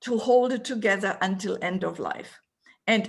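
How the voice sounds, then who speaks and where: At a moderate pace, the somewhat breathy voice carries a passionate tone with ordinary pitch variation. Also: woman. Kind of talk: interview answer describing photos.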